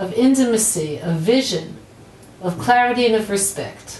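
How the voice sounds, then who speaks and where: The speaker talks at a moderate pace, with audible room echo and light background noise. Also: woman. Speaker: teacher. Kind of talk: promotional address to camera. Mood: warm, smiling. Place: office.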